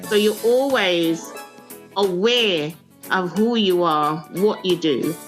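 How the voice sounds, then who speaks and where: Music plays in the background as a woman speaks at medium pitch with lively intonation. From Jamaica. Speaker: leadership coach and proverb business owner. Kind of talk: interview answer.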